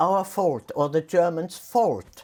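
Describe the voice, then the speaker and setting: Over a silent background in a very clean recording, a woman with a fairly low pitch and a dark, mellow tone speaks very slowly with vocal fry. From Austria. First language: German. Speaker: war survivor. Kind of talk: interview answer. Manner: reflective, hesitant.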